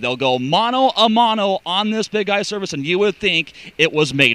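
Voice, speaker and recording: Raising and projecting his voice, a man speaks at a high pitch and moderate pace with lively intonation, in a dry, close sound with no echo. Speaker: radio play-by-play announcer.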